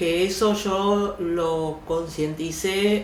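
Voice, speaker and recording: A woman with an Argentine accent and a fairly low pitch, amid noticeable background noise and audible room echo. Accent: Rioplatense Argentine Spanish. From Argentina, raised from age two. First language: Yiddish (speaking Spanish). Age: 70s. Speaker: actress and oral storyteller. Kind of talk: interview, personal life story.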